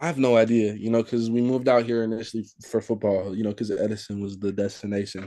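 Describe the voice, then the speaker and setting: A man with a dark, mellow tone speaks with hardly any pauses, his loudness swinging widely. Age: 18. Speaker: high school football running back. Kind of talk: interview. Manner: halting, many fillers.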